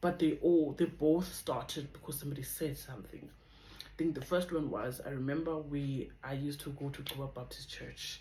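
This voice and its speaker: A woman's very deep, low voice at a moderate pace, with big swings in loudness, fairly even intonation and audible room echo. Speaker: vlogger. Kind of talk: testimony.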